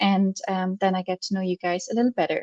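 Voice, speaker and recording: Over a quiet background, a woman speaks at a fairly quick pace with fairly even intonation. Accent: German. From Germany. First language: German. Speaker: marketing agency founder. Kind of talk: webinar presentation. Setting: online webinar with screen sharing.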